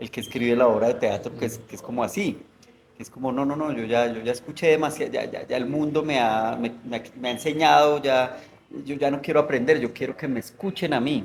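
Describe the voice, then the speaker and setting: A man with a medium-pitched voice talks at a fairly quick pace with ordinary pitch variation over noticeable background noise. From Colombia, Bogotá. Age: 40s. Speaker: novelist. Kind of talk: interview conversation. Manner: hesitant, many fillers.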